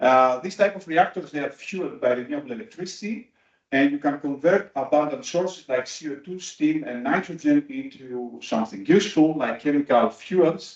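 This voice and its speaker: A man with a non-native accent speaks at a moderate pace and fairly high pitch, with lively intonation and hardly any pauses. His loudness swings widely. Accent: non-native accent, noted by self. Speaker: materials researcher. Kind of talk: conference talk. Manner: hesitant, many fillers.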